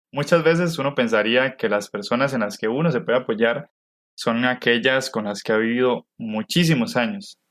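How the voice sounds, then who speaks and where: A man talks at a moderate pace in an ordinary speaking voice, medium in pitch with ordinary pitch variation. The recording is very clean, with a silent background. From Costa Rica. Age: 20s. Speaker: podcast co-host, university student. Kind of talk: scripted podcast narration.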